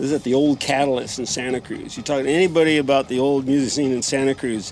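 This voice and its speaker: A man's fairly high voice, fairly quick and fairly even in intonation, over noticeable background noise. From Peru. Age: 70s. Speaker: retired musician, amp owner. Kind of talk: casual chat.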